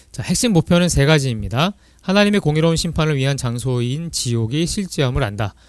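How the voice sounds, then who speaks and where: A man is talking. He goes at a very fast pace. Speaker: church teacher. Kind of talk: lecture.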